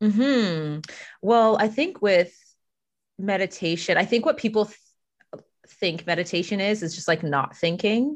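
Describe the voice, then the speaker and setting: A woman talks at a fairly slow pace in an unremarkable speaking voice, medium in pitch. Her intonation is lively, and the background is quiet. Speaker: Reiki practitioner and life coach. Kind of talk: casual interview conversation.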